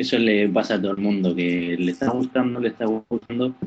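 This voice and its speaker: A man talks at a fairly low pitch, with ordinary variation in it. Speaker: podcast newcomer, gamer. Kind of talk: casual chat. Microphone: poor connection, sounds strange.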